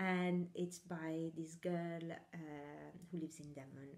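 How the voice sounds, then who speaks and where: A woman with an Italian accent, fairly low in pitch and dark and mellow in tone, at a fairly slow pace with fairly even intonation. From Italy. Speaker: knitting podcaster. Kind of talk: casual chat. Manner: hesitant, many fillers.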